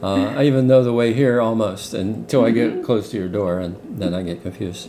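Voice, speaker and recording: With noticeable background noise, a man speaks at a fairly quick pace and medium pitch with ordinary pitch variation. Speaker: interviewer. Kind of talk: casual interview question.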